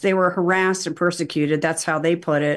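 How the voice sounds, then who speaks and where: An ordinary speaking voice moves at a moderate pace. The background is quiet. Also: woman. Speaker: documentary filmmaker. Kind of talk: casual chat.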